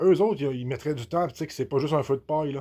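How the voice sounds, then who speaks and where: A man with a Beauce Quebec accent speaks in a dark, mellow tone at a fairly high pitch with ordinary pitch variation. The recording is very clean, with a silent background. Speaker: activist vlogger. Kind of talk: casual monologue. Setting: relaxing with a beer. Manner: halting, many repetitions.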